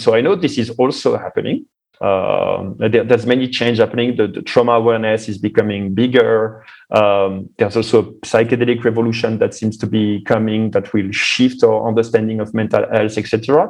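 A normal speaking voice belongs to this male speaker, pitched at a medium level. He goes along at a fairly quick clip with fairly even intonation. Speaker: think tank founder. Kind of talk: interview conversation.

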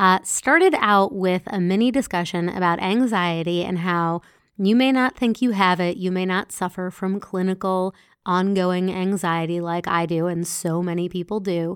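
A woman with an unremarkable speaking voice talks at medium pitch and a moderate pace, with fairly even intonation, on a very clean recording with a silent background. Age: 40s. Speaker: podcast host and self-help author. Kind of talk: solo podcast monologue. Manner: casual with filler words.

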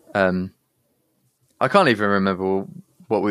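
A man with a southern English accent, speaking at a moderate pace. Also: dry, close sound with no echo. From southern England. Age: 30s. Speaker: rock band vocalist. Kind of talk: casual interview.

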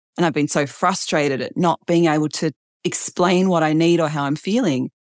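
Speaking at a moderate pace with an Australian accent, a woman has a fairly low voice and ordinary pitch variation. The sound is dry and close with no echo, on a very clean recording with a silent background. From Australia, Adelaide. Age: 40s. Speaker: author and writer. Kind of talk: interview conversation.

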